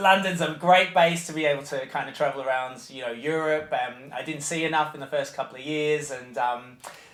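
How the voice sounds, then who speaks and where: With noticeable background noise behind him, a man with a fairly high pitch talks at a fairly quick pace, ordinary pitch variation, and hardly any pauses. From Australia, Melbourne. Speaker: nursery head teacher. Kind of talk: interview. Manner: halting.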